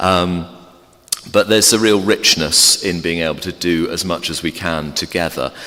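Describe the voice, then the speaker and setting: In an English accent, a man with a very deep, low pitch talks at a moderate pace with fairly even intonation. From England. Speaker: theology professor and Anglican priest. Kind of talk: informal talk to a church congregation. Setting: church. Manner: halting with many fillers.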